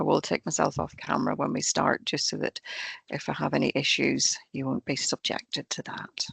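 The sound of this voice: A woman speaks at a moderate pace in a low, croaky voice with a husky, rough edge and vocal fry, fairly bright in tone, with ordinary pitch variation and a dry, close sound with no echo.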